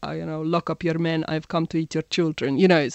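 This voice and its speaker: A woman with a British accent. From England, Birmingham. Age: 40s. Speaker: digital consultant. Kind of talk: interview.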